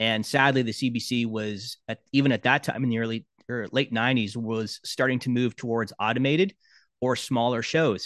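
Against a quiet background, a man with an ordinary speaking voice talks at a moderate pace with fairly even intonation. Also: medium pitch for a man, dry, close sound with no echo. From Canada, Brampton near Toronto. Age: 50s. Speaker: sports broadcast sound engineer. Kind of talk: casual interview.

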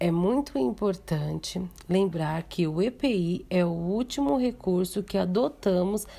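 A woman's voice with a dark, mellow tone. Her intonation is lively. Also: very clean recording, silent background. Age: 30s. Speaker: vocational student. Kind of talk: educational presentation. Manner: formal.

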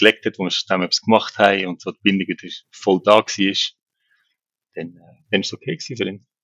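Here a man talks at a moderate pace with a fairly low pitch and fairly even intonation. His loudness swings widely, and he takes long, frequent pauses. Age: 40s. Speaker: co-parenting father. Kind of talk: casual interview.

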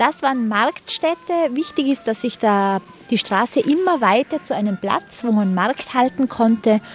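Fairly slow, lively speech from a woman with a high voice and very even loudness. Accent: Tyrolean. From Tyrol, Austria. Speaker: tour guide. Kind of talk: guided city tour.

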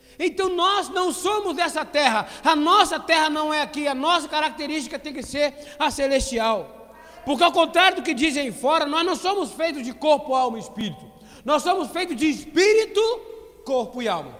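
Noticeable background noise surrounds a man with an extremely high pitch. He talks at a moderate pace with lively intonation. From Brazil, Petrópolis (Rio de Janeiro state). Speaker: preacher. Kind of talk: sermon. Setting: church with congregation, streamed online.

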